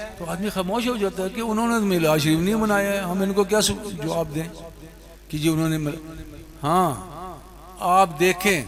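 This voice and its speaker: Ordinary pitch variation runs through the speech, which has audible room echo. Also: man. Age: 80s+. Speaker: pir / religious scholar. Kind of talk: religious sermon. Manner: conversational, addresses audience directly.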